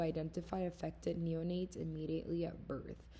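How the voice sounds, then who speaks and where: A woman is speaking. She has a non-native accent. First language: not English. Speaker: student. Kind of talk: class presentation. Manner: halting.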